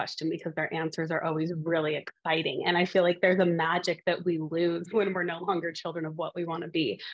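A woman with an American accent talks fairly quickly at a fairly low pitch. Her intonation is monotone and flat. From Montana, US. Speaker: dental company director of professional relations. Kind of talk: interview conversation.

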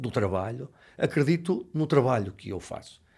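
A man talks with a fairly high pitch. The recording is very clean, and the background is silent. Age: 50s. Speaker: bread chef and baker. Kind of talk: interview. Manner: emphatic.

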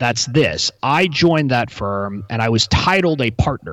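A man speaks with an American accent at a medium pitch. His pace is fairly slow. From US South, Texas (McAllen, near Mexican border). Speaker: intellectual property lawyer and entrepreneur. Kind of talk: interview conversation. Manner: hesitant with fillers and repetitions.

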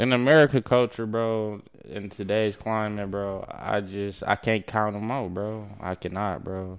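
A man with a fairly low pitch and an unremarkable speaking voice talks with fairly even intonation on a very clean recording against a silent background. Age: young. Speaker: podcast guest. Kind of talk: casual chat.

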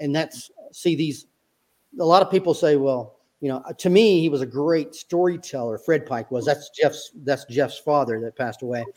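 A man talks with an American accent. His fairly high pitch shows ordinary variation. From US South, upstate South Carolina. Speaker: retired army officer and author. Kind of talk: interview.

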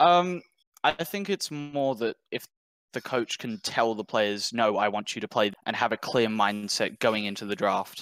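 Someone with an Australian accent speaks at a fairly slow pace with lively intonation, the sound dry and close with no echo. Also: man, medium pitch for a man. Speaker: caller. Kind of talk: call-in discussion.

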